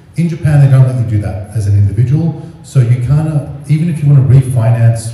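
Strong room echo surrounds a voice with ordinary pitch variation. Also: man. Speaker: event host. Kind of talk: casual introduction. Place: hall. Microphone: camera far.

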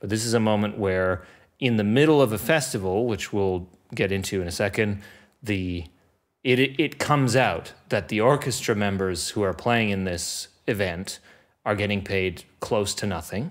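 A normal speaking voice from a man, fairly low in pitch with ordinary pitch variation. He keeps a moderate pace against a quiet background. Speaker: podcast host. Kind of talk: podcast conversation. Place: studio. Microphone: studio mic.

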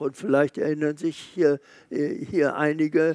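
With little sound behind him, the man talks in a fairly high pitch. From Germany. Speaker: Holocaust survivor, eyewitness. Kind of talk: interview answer, recounting memories. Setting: museum event hall with live audience. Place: hall. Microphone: headset.

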